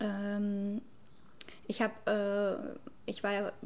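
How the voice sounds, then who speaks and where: A woman speaks at a medium pitch. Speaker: cultural studies student. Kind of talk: casual chat.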